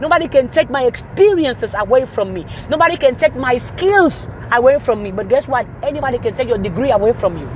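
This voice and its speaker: Very fast and animated, the speech swings widely in both pitch and loudness over noticeable background noise. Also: woman, high pitch for a woman. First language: not English. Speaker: motivational speaker. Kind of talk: motivational talk.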